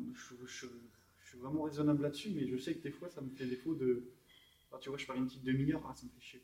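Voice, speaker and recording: A man's fairly high voice at a very fast pace, fairly even in intonation but with big swings in loudness, over noticeable background noise. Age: 20s. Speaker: fitness coach and bodybuilder. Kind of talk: casual chat. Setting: gym.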